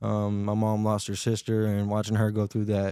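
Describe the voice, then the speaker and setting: In an American accent, a man speaks at a moderate pace with a dark, mellow tone and fairly low pitch, his intonation monotone and flat, on a very clean recording with a silent background. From Tennessee. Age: 20s. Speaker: podcast guest. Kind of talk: casual interview chat.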